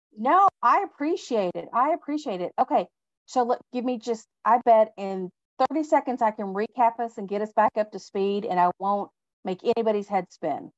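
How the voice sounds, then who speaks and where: At a moderate pace, a woman with an American accent and a fairly high pitch speaks with lively intonation in a dry, close sound with no echo. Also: quiet background. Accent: slight Texan twang, stronger when excited. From Texas. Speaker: leadership speaker. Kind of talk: webinar presentation.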